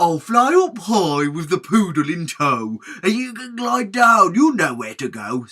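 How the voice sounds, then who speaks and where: In a put-on, squeaky character voice, a man projects loudly at a high pitch with very wide pitch swings, keeping a fairly slow pace with hardly any pauses. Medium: read story.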